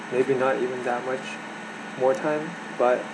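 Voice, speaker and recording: With fairly even intonation and a medium pitch, a man talks at a moderate pace through noticeable background noise and audible room echo. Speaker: vlogger sharing personal mental health story. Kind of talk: personal testimony monologue. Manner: soft-spoken; halting, many fillers and restarts.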